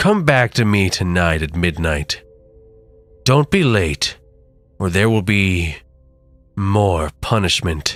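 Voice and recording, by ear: A put-on character voice growls in a menacing tone at a fairly slow pace, with long, frequent pauses. Music plays in the background. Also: man, very deep, low pitch for a man.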